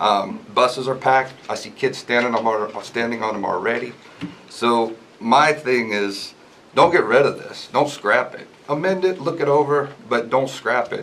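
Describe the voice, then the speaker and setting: Noticeable background noise runs through the clip. The man's pitch varies in an ordinary way. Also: medium pitch for a man, moderate pace. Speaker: resident speaking at public hearing. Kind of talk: public comment at town meeting. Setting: public hearing in meeting room.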